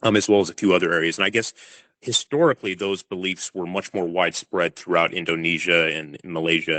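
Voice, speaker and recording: In a dry, close sound with no echo, a man with an American accent talks at a fairly quick pace in a very deep, low voice with a bright, sharp tone. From California, US. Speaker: crocodile attack researcher. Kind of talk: podcast interview. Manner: hesitant, many fillers.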